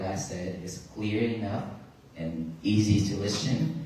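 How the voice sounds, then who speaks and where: A man speaks at a fairly low pitch with a Vietnamese accent and ordinary pitch variation. Noticeable background noise and audible room echo are present. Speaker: Buddhist monk. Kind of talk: dharma talk to audience. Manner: halting.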